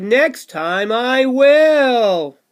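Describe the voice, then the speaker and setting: A man performs a put-on character voice. It is extremely high in pitch, with lively intonation. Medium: read story. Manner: slow, agreeable.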